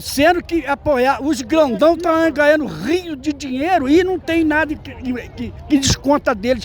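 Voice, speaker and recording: The speech goes at a fairly slow pace. Noticeable background noise runs underneath. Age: 70s. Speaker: rally participant interviewed. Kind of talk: street interview.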